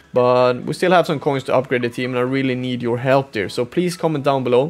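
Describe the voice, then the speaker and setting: A man with a Swedish accent at a very fast pace, medium in pitch, with fairly even intonation. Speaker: esports gamer and YouTuber. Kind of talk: gameplay commentary recap. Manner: halting, many fillers.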